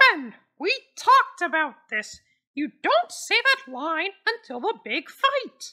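A woman puts on a character voice, her extremely high pitch swinging very widely. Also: fairly slow pace. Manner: exasperated, sarcastic, bossy.

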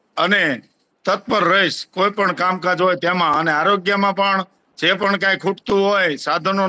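Using a raised, projected voice, a man speaks at a high pitch in a bright, sharp tone with monotone, flat intonation. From Gujarat, Bhavnagar district (Vartej). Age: 40s. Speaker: village head. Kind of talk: interview.

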